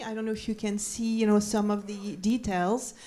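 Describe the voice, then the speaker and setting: At a moderate pace, a woman with a French accent speaks in a fairly high pitch. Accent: French, noticeable. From France, Paris. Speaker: documentary maker and former print editor. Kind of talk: panel discussion. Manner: hesitant, many fillers.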